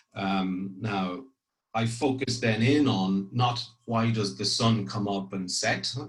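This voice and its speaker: A man with a fairly low voice and ordinary pitch variation speaks at a very slow pace, with audible room echo. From Ireland, grew up partly in France. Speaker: corporate public affairs executive. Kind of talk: career talk to trainees. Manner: frequent hesitations and repetitions.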